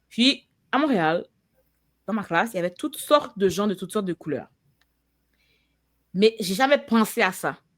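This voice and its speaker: A woman's fairly high voice with lively intonation, a moderate pace and long, frequent pauses. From Quebec, Montreal and Laval. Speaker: podcast host. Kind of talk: casual chat.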